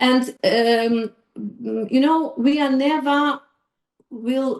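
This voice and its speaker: A woman with a non-native accent, very slow pace and fairly even intonation. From Ukraine. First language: Ukrainian. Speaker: psychologist. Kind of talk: podcast interview. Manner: halting, many fillers.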